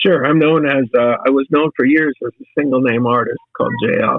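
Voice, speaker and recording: Speaking at a moderate pace, a man uses a plain, everyday voice at medium pitch with ordinary pitch variation. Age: 60s. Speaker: songwriter and musician. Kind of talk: interview.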